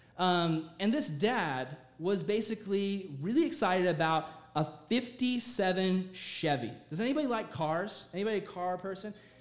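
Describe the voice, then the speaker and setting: Audible room echo around a man's high voice, moving at a fairly slow pace. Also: lively intonation. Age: 20s. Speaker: youth pastor. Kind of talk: sermon. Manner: animated.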